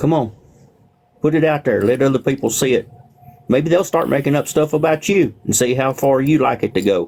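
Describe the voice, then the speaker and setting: A man talks at a fairly quick pace with very even loudness and ordinary pitch variation. It is an unremarkable speaking voice, fairly high in pitch. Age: 60s. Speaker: livestreamer. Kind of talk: casual chat.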